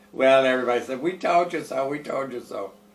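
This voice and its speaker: Medium-pitched male speech at a moderate tempo, ordinary in its pitch variation, with noticeable background noise. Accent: American. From US Midwest, Fort Wayne, Indiana. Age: 80s+. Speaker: retired female impersonator, bar owner. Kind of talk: interview storytelling.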